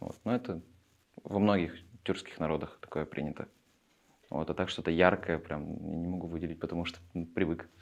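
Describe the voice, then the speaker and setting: A man's very deep, low voice at a fairly quick pace, broken by long, frequent pauses. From Russia, Perm region (Chaykovsky). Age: 20s. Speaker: theatre directing student. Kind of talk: interview. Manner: halting, many fillers.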